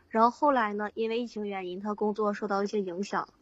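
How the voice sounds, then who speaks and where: Speaking in a monotone with flat intonation, the woman has a medium pitch. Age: 20s. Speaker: caller seeking relationship advice. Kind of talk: call-in personal story. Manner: halting, hesitant.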